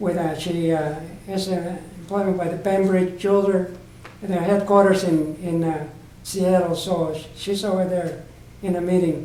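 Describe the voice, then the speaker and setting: A man with an American accent talks at a moderate pace, high-pitched for a man and with monotone, flat intonation. Noticeable background noise and audible room echo surround his voice. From Southern California. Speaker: oral history interviewee. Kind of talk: oral history interview. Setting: library room. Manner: halting, repetitive.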